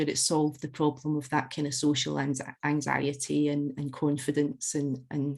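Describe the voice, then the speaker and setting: A woman with a Scottish accent speaks at a moderate pace. The recording is very clean, with a silent background. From Scotland, Glasgow / West Central Scotland. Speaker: alcohol freedom coach. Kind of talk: podcast interview. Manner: conversational with frequent hesitations and repeats.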